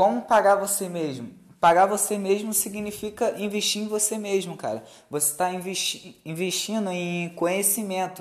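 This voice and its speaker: This man has a high voice. He speaks at a moderate pace with fairly even intonation. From Brazil, Rio de Janeiro state countryside (Campos). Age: 20s. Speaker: podcast host, investor and salesman. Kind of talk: casual chat.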